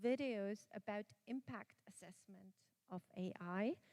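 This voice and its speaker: A woman speaks at a fairly slow pace in a German accent, her tone dark and mellow. The sound is dry and close, with no echo. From Austria. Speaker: conference speaker on quality and AI management. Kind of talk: conference presentation.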